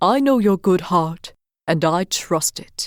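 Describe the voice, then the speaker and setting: In a put-on character voice, a female-sounding speaker goes at a fairly slow pace with a middle pitch, in a very clean recording with a silent background. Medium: read story.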